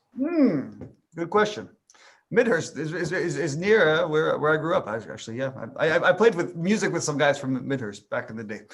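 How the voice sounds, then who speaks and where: Male voice with vocal fry and very wide pitch swings, delivered at a moderate pace. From Ontario, Canada. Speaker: singer-songwriter. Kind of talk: interview. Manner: halting, many repetitions.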